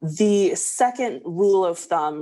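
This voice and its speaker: A quiet background behind a woman's speech in an American accent. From US South, Arkansas. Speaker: language coach. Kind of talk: interview conversation.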